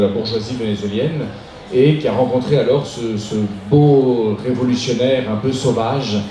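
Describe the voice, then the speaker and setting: Music plays in the background and audible room echo surrounds a man speaking at medium pitch, fairly slowly, with fairly even intonation. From moved between countries, French schools abroad; Venezuelan-Chilean family. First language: Spanish (speaking French). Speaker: novelist. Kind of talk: interview. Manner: hesitant with fillers and restarts.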